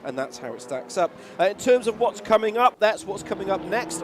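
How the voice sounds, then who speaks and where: A man speaks while noticeable background noise carries on around him. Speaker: sim racing commentator. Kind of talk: live commentary. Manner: loud.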